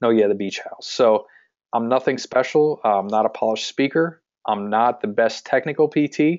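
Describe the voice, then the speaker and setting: In a central Pennsylvania accent, a man speaks at a moderate pace and medium pitch with ordinary pitch variation. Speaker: physical therapist and practice owner, marketing coach. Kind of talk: webinar sales pitch. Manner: frequent filler words (um, uh).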